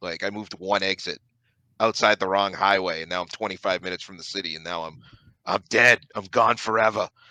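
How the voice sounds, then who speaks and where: A man with an American accent, animated and bright with a sharp edge, ordinary pitch movement, a dry close sound with no echo, and a quiet background. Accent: Boston accent, slips out. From Boston area, Massachusetts. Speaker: sports writer and podcaster. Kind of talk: casual podcast chat. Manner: animated, with many restarts.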